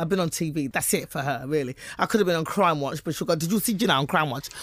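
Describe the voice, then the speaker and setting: A speaker talks at a very fast clip with a British accent. The intonation is lively. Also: woman. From England. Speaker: stand-up comedian. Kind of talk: interview.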